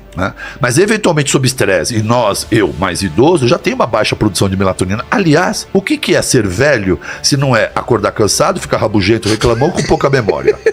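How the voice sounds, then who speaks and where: Over music in the background, a man with a medium-pitched voice speaks fairly quickly, his pitch swinging very widely while his loudness stays very even. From Brazil, São Paulo area (Santo André). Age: 60s. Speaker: doctor. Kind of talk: interview.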